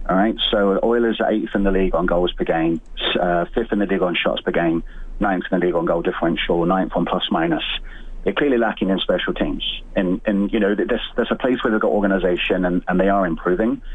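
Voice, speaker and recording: Amid noticeable background noise, a man with a fairly low pitch talks at a very fast pace, with fairly even intonation and very even loudness. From England. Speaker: caller. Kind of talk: phone-in call.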